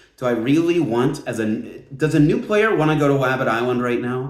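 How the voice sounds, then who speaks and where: With audible room echo around him, a man speaks at a moderate pace in an animated tone with lively intonation. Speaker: gaming video creator. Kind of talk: casual commentary video.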